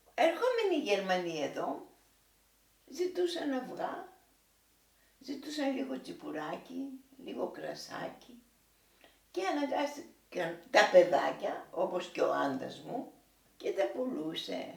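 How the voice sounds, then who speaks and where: In a room with audible echo, a woman speaks at a very slow pace with long, frequent pauses. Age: 80s+. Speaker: war witness. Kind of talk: oral history interview. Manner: halting.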